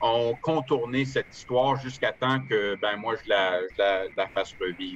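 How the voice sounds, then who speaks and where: The speaker talks at a fairly slow pace in an Ottawa accent. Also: man. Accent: Ottawa French-Canadian. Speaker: author and amateur historian. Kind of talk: online lecture with Q&A. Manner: halting, many hesitations and repetitions.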